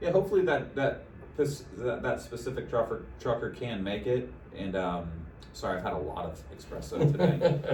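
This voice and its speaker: Noticeable background noise and audible room echo around a man talking at a moderate pace. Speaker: insurance sales rep. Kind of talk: casual advice chat. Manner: stumbling, repeats words.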